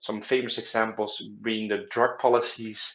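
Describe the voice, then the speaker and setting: A man with a Dutch accent, medium in pitch, at a moderate pace. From Netherlands. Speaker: study abroad advisor. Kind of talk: informational talk to camera. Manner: hesitant, many filler sounds.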